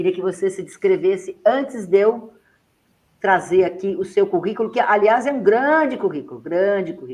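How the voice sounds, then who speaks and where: With a normal speaking voice, a woman of medium pitch talks at a moderate pace with lively intonation and big swings in loudness. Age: 60s. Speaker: moderator, HIV/AIDS inclusion activist. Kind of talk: panel discussion moderation.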